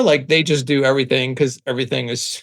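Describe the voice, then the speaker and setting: Here is a man with a New York accent. His pitch is fairly high. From Staten Island, New York. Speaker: branding agency founder. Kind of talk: podcast interview. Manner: casual.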